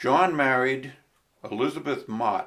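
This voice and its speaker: A man with an American accent speaks at a very slow pace. His pitch is medium, with ordinary pitch variation. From Long Island, New York. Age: 70s. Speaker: local history enthusiast. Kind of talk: oral history interview.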